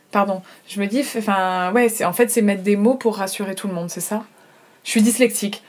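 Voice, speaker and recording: The woman talks in an ordinary speaking voice, pitched fairly high, her pitch moving a normal amount. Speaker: podcast host and interviewer. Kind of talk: podcast interview.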